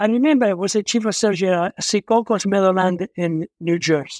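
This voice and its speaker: A man with an Italian accent, high in pitch with ordinary pitch variation and a fairly quick pace, in a dry, close sound with no echo on a very clean recording with a silent background. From Italy, between Rome and Naples. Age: 80s+. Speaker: retired surgeon and author. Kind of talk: interview, personal story. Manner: halting, with fillers and self-corrections.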